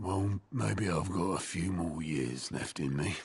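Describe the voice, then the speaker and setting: Using a put-on character voice, a man speaks raspy and very deep at a fairly slow pace. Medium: video game.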